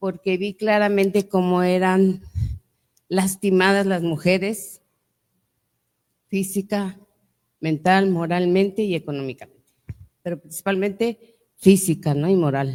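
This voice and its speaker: A woman with a medium-pitched voice talks at a fairly slow pace with fairly even intonation, leaving long, frequent pauses. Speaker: lawyer and author, panelist. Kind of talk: panel talk to audience. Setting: museum event with audience. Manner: loud.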